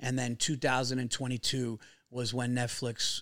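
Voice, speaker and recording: Speaking with a New York accent, a man at medium pitch keeps a moderate pace on a very clean recording with a silent background. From New York area. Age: 40s. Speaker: stand-up comedian. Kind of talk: casual podcast interview. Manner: animated, profane storyteller.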